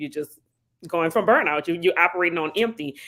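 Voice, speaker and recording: A woman speaks at a very fast pace with a New Orleans accent. Her pitch is fairly low and her intonation fairly even. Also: dry, close sound with no echo. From New Orleans, Louisiana. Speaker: psychotherapist. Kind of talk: interview.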